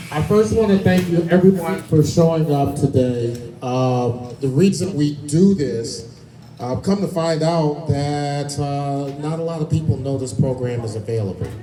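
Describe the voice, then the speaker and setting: There is audible room echo as a man speaks fairly slowly at a fairly high pitch with ordinary pitch variation. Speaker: loan presenter at real estate seminar. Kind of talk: seminar presentation. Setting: room with live audience. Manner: energetic.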